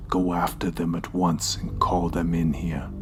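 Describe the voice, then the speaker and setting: Over loud background noise, a man uses a put-on character voice with very deep, low pitch at a moderate pace. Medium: read story. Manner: imperious, archaic speech.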